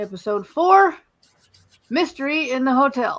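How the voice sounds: A man's extremely high voice, fairly bright in tone, with lively intonation at a fairly slow pace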